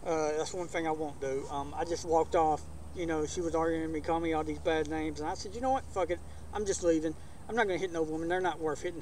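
A man with an Alabama accent at a fairly high pitch, very fast pace and ordinary pitch variation, in a dry sound with no echo over light background noise. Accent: Southern US (Alabama). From US South, Alabama. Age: 40s. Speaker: backyard wrestling channel host. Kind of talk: casual vlog talk to camera. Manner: casual, hesitant with many fillers. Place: garden.

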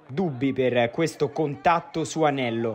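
A man's fairly high voice with ordinary pitch variation, over background music. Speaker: sports reporter and commentator. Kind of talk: sports match highlights commentary, voiced over footage. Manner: brisk, energetic play-by-play delivery; clear and polished, like a scripted broadcast.

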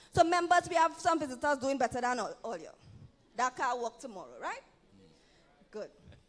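In a Trinidadian accent, a woman with a high-pitched, animated voice and lively intonation talks at a fairly quick pace, broken by long, frequent pauses. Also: big swings in loudness. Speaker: evangelist preacher. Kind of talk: sermon. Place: church. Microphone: handheld.

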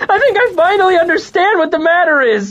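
This put-on character voice sits at an extremely high pitch and moves at a fairly quick pace.

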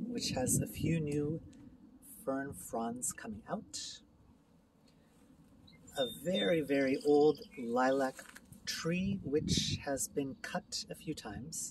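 The speech moves at a very slow pace, sounding dry with no echo against noticeable background noise. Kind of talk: casual house tour narration. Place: garden. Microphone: phone near.

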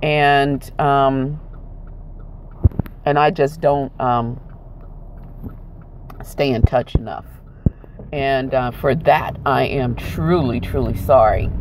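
A woman with a very deep, low pitch speaks very slowly, with ordinary pitch variation and long, frequent pauses. The sound is dry with no echo, though background noise is noticeable. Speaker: vlogger. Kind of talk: casual vlog chat. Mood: apologetic, sincere. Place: car. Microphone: earbuds.

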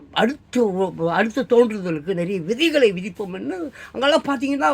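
This man has a high pitch and an animated tone. His voice moves in very wide pitch swings. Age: 60s. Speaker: news commentator. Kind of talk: newspaper headlines with commentary.

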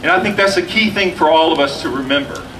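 A man talks in a high pitch. There is noticeable background noise. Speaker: rally emcee and education academic. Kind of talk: rally speech. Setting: outdoor rally with audience. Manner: hesitant, searching for words.

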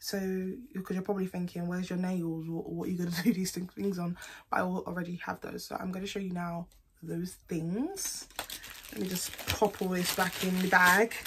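Over noticeable background noise, a woman speaks in a monotone, flat intonation at a moderate pace. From UK. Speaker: beauty vlogger. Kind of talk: casual product haul vlog. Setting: at home, recording to camera. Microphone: phone near.

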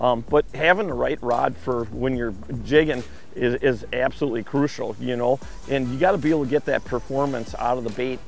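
The speech moves at a fairly quick pace with ordinary pitch variation, in a dry sound with no echo and faint music in the background. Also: man. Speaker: fishing show host. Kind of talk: tutorial. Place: boat. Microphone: camera far.

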